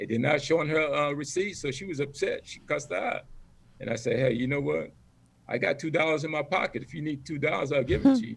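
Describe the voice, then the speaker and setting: Speaking at a very fast pace with an American accent, a man's somewhat breathy voice sits at a fairly high pitch with ordinary pitch variation. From US Virgin Islands (St. Croix, Frederiksted). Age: 60s. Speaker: military veteran, former drill instructor. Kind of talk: casual family chat.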